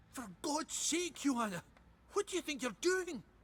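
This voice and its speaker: A man puts on a character voice pitched extremely high, speaking at a moderate pace. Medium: video game. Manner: gruff, blustering.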